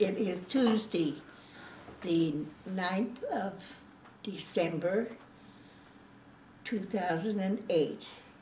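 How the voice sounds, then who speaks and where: A woman's medium-pitched voice at a very slow pace, with long, frequent pauses, ordinary pitch variation and noticeable background noise. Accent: American. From Washington state, USA. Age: 80s+. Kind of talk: oral history interview. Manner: hesitant, casual.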